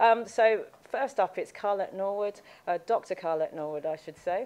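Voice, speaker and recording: A woman speaks with a British accent. Her dark, mellow tone moves at a fairly quick pace. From UK. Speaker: event chair, corporate lawyer. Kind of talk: event introduction. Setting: live event with in-person and online audience.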